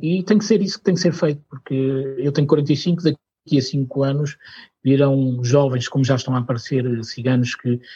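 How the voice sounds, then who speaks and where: Recorded with a dry, close sound and no echo, a man speaks at a moderate pace in a somewhat breathy, medium-pitched voice. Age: 40s. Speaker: cultural mediator. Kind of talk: interview. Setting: studio.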